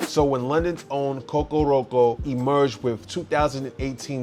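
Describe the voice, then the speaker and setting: A man with a New York accent at medium pitch and moderate pace, music in the background. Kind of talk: music review read-out.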